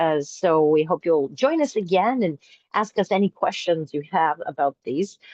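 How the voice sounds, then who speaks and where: Using an unremarkable speaking voice, a woman talks at a moderate pace with lively intonation. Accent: American. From Boston, Massachusetts. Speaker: presenter of open source games.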